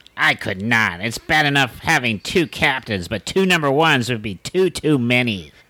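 In a put-on character voice, the speaker keeps a moderate pace with hardly any pauses at a low-to-middle pitch. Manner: dry, mildly sarcastic.

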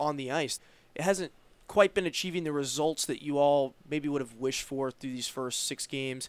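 With an American accent and a normal speaking voice, a man talks at a moderate pace, fairly high in pitch with ordinary pitch variation, on a very clean recording with a silent background. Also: dry, close sound with no echo. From Roanoke, Virginia. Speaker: sports podcast host. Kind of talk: interview.

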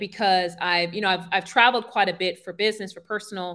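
A woman with a New York accent is heard on a very clean recording with a silent background. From Brooklyn, New York (Brownsville). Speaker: career transition coach. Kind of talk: interview.

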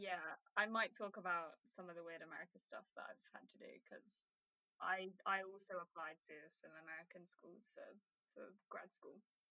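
With a British accent, the voice shows big swings in loudness. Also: woman, moderate pace, dry, close sound with no echo. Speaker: podcast host, student. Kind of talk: casual chat.

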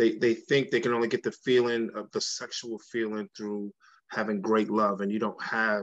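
With an American accent, a man uses an ordinary speaking voice at a medium pitch and moderate pace against a quiet background. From Brooklyn, New York. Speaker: podcast panelist, relationship coach. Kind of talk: casual chat.

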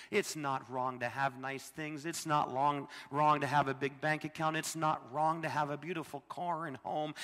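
A man with an American accent talks at a fairly high pitch. He has an unremarkable speaking voice with fairly even intonation. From US Midwest, Illinois. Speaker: missionary preacher. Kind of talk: sermon. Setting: church.

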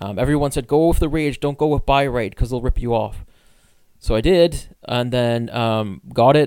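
A man speaks in a plain, everyday voice at medium pitch with fairly even intonation. The recording is very clean, the background silent. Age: 30s. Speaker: podcast co-host. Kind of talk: casual chat.

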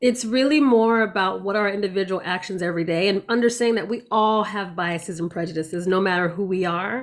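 On a very clean recording with a silent background, a woman with an unremarkable speaking voice talks at medium pitch and a fairly quick pace, with ordinary pitch variation and hardly any pauses. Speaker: anti-racism organization founder. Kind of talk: casual interview conversation.

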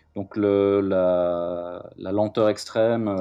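A man with a fairly low pitch and a dark, mellow tone, his intonation monotone and flat, over a quiet background. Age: 40s. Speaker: metal musician and podcast host. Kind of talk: interview. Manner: halting.

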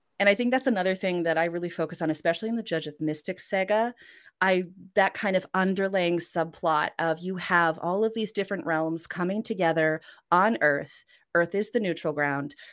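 A woman's plain, everyday voice, fairly low in pitch with ordinary pitch variation, at a fairly quick pace in a very clean recording with a silent background. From Western Canada, Norwegian family. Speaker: author. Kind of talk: interview. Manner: casual, with fillers and laughs.

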